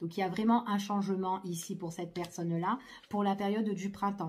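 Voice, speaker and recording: A woman's somewhat breathy, medium-pitched voice with a dark, mellow tone at a fairly quick pace. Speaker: tarot card reader. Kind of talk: tarot reading. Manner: hesitant, many fillers.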